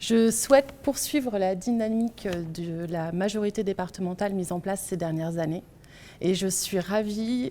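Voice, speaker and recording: With a dark, mellow tone, this voice moves at a fairly slow pace, and its pitch varies in an ordinary way. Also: woman. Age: 40s. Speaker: political candidate. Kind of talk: campaign self-introduction. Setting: video meeting recorded without audience.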